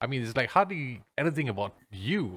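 At a moderate pace, a man with a Malaysian accent speaks at a medium pitch on a very clean recording with a silent background. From Ipoh, Malaysia. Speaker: podcast host. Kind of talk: casual interview chat.

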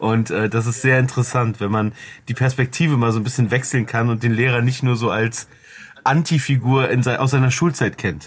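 The man's intonation holds fairly even. His voice sounds somewhat breathy. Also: medium pitch for a man, moderate pace, very even loudness. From Cologne, Germany. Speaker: media producer and podcaster. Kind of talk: casual chat.

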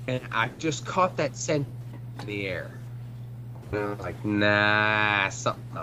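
Noticeable background noise sits behind a man's voice. He talks at a very slow pace with long, frequent pauses. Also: medium pitch for a man, ordinary pitch variation. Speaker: podcast co-host, military veteran. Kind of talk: casual chat. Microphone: bad connection, breaking up.

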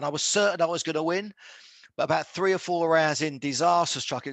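A man with a southern English accent and ordinary pitch variation, against a quiet background. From Luton, Bedfordshire, England. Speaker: former professional boxer. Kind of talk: interview.

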